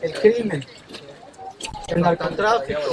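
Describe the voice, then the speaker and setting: Set against noticeable background noise, the speaker talks fairly slowly with lively intonation. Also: man. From Ecuador. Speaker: journalist. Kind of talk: field interview.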